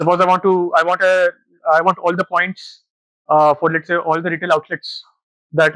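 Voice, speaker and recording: Recorded dry and close with no echo, a man speaks with a bright, sharp tone at a fairly high pitch. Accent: Pakistani. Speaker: data analytics manager. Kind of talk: conference talk. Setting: stage with audience. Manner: fast.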